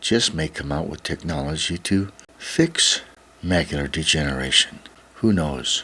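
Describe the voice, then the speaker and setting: The speech moves at a fairly slow pace. Its intonation is lively. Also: man. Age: 70s. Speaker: vlogger. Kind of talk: casual monologue to camera.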